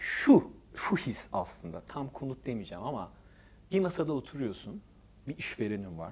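A man talks at a moderate pace with very wide pitch swings. His loudness also swings widely. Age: 40s. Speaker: architect; guest. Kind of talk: casual chat. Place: studio. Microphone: lapel.

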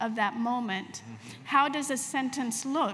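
A woman's high voice with an Ethiopian accent and fairly even intonation, over light background noise. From Ethiopia (Addis Ababa), raised abroad. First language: Amharic. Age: 50s. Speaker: novelist; author on panel. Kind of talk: literary panel discussion. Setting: stage with live audience. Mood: reflective, earnest. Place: tent. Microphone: handheld.

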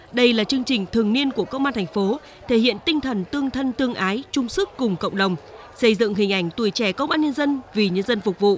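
A woman's fairly high voice at a very fast pace, with lively intonation over noticeable background noise. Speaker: TV news reporter. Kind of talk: scripted narration. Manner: formal.

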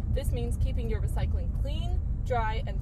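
The speech moves at a fairly quick pace, with a dry sound free of echo and loud background noise. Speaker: podcast host driving. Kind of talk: scripted podcast monologue. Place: car. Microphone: phone near.

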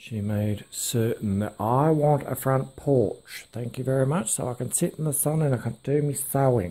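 Very slowly, a man speaks in a dark, mellow, somewhat breathy tone. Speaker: urban explorer vlogger. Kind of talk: casual vlog chat. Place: empty room. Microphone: phone near.

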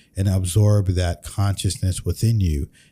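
At a moderate pace, a man speaks in a very deep, low voice with a dark, mellow tone that is somewhat breathy. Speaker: podcast host. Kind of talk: reaction commentary. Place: studio. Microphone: studio mic.

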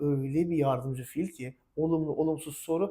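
A man's animated tone at a fairly high pitch and a moderate pace. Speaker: English teacher. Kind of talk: tutorial.

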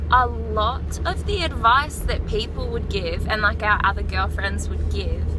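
A woman talks at a very slow pace. The sound is dry with no echo, though background noise is noticeable. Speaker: vlogger. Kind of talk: casual vlog chat. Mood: relaxed, opinionated. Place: car. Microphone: phone near.

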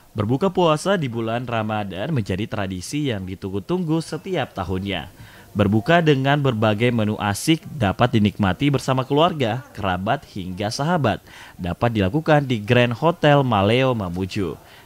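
Talking at a moderate pace, a man of medium pitch makes very wide pitch swings. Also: hardly any pauses. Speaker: news reporter. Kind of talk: TV news report, read as scripted voiceover. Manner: formal, steady and even-paced; polished, promotional, clearly enunciated.

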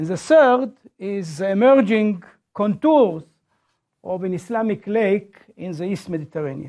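A dark, mellow tone at a moderate pace, with long, frequent pauses and a quiet background. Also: man, high pitch for a man. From Israel. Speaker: professor. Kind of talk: lecture. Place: classroom.

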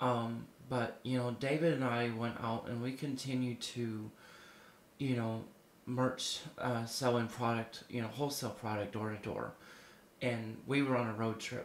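Speaking fairly slowly in a monotone, flat voice at a medium pitch, a man is heard with audible room echo. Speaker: prophetic minister. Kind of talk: prophetic sermon to camera. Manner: conversational, filler-heavy.

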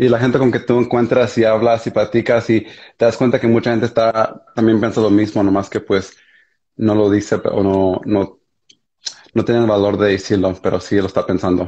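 A man talks at a fairly low pitch and a moderate pace. His loudness stays very even, and his intonation is fairly even. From United States (raised), born in Mexico. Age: 20s. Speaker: primary school teacher; guest. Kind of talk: casual conversation. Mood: reflective, earnest. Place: home room. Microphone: video call.

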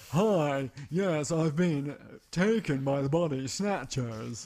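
A man puts on a character voice, fairly high in pitch and delivered at a very slow pace. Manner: stilted, mid-century.

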